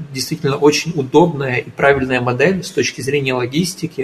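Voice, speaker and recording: Somewhat breathy, a man talks at a fairly high pitch and moderate pace with ordinary pitch variation. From Ukraine. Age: 20s. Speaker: entrepreneur. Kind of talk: radio interview.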